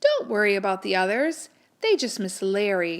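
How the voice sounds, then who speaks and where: At a moderate pace, a woman puts on a character voice at a medium pitch. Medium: read story. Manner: warm, motherly.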